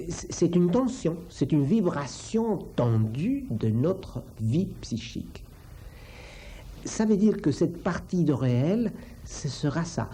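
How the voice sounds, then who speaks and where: A very slow pace with a non-native accent. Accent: foreign accent in French. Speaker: psychoanalyst. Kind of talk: interview explanation. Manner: halting, with hesitations and repetitions.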